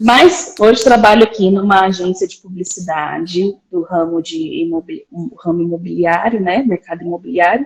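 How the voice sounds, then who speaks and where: A woman speaks in a plain, everyday voice at medium pitch and a moderate pace, with hardly any pauses, ordinary pitch variation and big swings in loudness. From Brazil, interior of São Paulo state. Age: 30s. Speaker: graphic designer. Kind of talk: casual chat.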